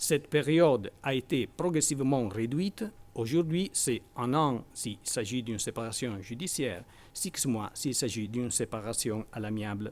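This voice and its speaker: A man speaks with lively intonation. The recording is very clean, and the background is silent. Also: medium pitch for a man, fairly slow pace. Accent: non-native. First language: Italian (speaking French). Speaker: law professor. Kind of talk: academic conference talk. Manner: halting, with repetitions.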